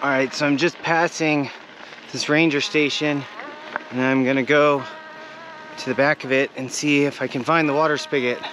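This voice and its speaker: This man has a fairly high voice and a flat, monotone delivery at a moderate pace. He pauses long and often, over noticeable background noise. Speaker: bikepacking vlogger. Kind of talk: casual vlog talk to camera. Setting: outdoors.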